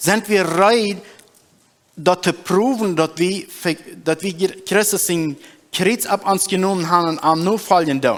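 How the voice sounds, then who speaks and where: The man's pitch is high, with ordinary variation. He talks at a very slow pace with long, frequent pauses. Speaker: preacher. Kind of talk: sermon.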